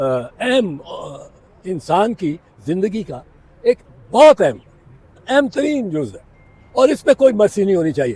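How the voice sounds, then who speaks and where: A man's voice, dry and close with no echo. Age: 80s+. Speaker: senior lawyer. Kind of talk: legal commentary to reporters. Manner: halting, slurred speech.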